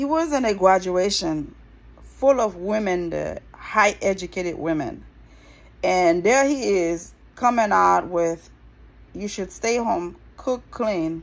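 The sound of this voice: A woman talks slowly at a fairly low pitch, with vocal fry. Her intonation is lively.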